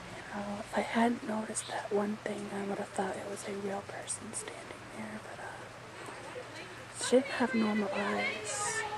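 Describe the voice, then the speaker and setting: A woman whispering in a gentle tone, with hardly any pauses and big swings in loudness, over noticeable background noise. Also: fairly slow pace. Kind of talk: ASMR soft-spoken personal story to camera, recounting a paranormal experience. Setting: outdoors on a back porch in the rain, with neighbor noise in the background. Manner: soft-spoken, gentle, conversational.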